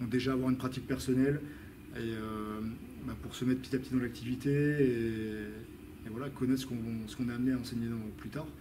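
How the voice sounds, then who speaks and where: Speaking at a fairly quick pace, a man uses a medium pitch and a flat, monotone intonation, with long, frequent pauses. Room echo is audible, and there is noticeable background noise. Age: 30s. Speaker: fitness trainer and weightlifting coach. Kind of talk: interview. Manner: halting, many fillers.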